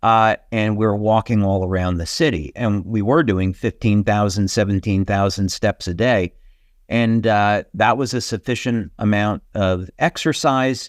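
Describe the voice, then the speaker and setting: A man's ordinary speaking voice, fairly low in pitch with ordinary pitch variation, at a fairly slow pace, with a dry, close sound with no echo and a quiet background. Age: 60s. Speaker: company founder and health speaker. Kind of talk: webinar presentation. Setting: online webinar. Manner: casual, with many filler words.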